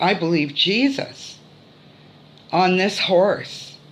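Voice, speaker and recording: Noticeable background noise and audible room echo surround the recording. A woman talks at a very slow pace. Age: 60s. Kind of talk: testimony. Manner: hesitant, many fillers.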